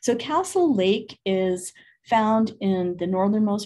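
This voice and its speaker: There is a somewhat breathy quality to the voice. Its intonation rises and falls in a lively way. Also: woman. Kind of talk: lecture. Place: office. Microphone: webcam.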